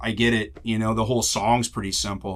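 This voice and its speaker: A man talks at a medium pitch. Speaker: singer-songwriter and guitarist. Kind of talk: tutorial. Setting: studio. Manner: casual, filler-heavy.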